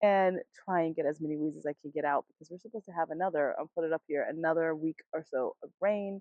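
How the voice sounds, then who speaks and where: Speaking at a very fast pace with hardly any pauses, a woman with a fairly low pitch keeps her intonation fairly even while her loudness swings widely. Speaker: garden vlogger. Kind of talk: casual vlog tour. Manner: chatty, informal.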